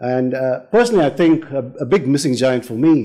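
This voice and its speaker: A man's dark, mellow tone with very wide pitch swings, a moderate pace and a quiet background. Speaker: panel chair. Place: hall. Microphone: podium.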